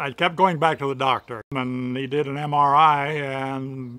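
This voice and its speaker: This man speaks at a fairly high pitch with fairly even intonation and a Midwestern US accent. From Michigan. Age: 70s. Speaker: amputee patient. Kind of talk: testimony.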